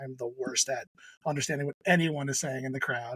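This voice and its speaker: Talking at a very fast pace, a man speaks with a New Jersey accent. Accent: New Jersey American. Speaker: podcast host. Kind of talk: casual chat.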